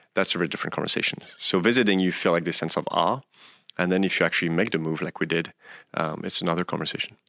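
A man with a French accent speaks very fast in a very deep, low voice, his tone bright and sharp and his pitch varying in an ordinary way. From France, northeast of Paris. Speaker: chemistry professor. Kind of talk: interview.

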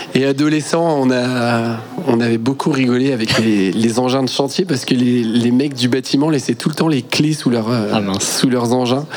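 With hardly any pauses, a man talks in very even loudness and ordinary pitch variation over noticeable background noise. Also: medium pitch for a man, moderate pace. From Brittany, France (Quimperlé). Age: 30s. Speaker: water sports entrepreneur. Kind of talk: casual radio interview. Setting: live broadcast from a festival.

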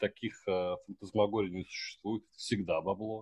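A man's fairly low voice, an ordinary speaking voice, at a moderate pace with fairly even intonation, in a dry, close sound with no echo. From Russia, Samara. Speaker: podcast host. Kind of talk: casual chat.

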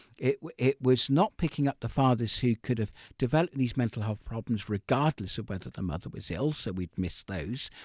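A man talks at a fairly quick pace with lively intonation and hardly any pauses, in a dry, close sound with no echo on a very clean recording with a silent background. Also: medium pitch for a man. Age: 60s. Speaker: mental health researcher. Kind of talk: interview. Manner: halting.

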